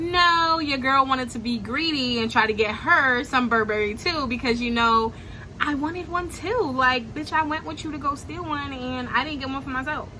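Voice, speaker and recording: A woman with an American accent uses a raised, projected voice at a high pitch. Her pitch varies ordinarily at a moderate pace, with noticeable background noise. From Brooklyn, New York. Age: young. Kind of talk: casual storytime talk to camera. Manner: animated, slangy, upbeat.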